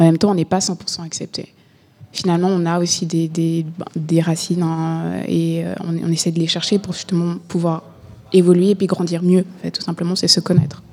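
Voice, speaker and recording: Her fairly low voice moves at a moderate pace, the woman's intonation monotone and flat. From Burundi, raised in Switzerland. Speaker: guest on identity project. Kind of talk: radio interview.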